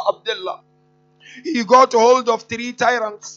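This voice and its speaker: Over music in the background, a man with an extremely high voice speaks at a fairly slow pace. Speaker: speaker. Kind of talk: sermon. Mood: solemn mourning narration. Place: church. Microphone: podium.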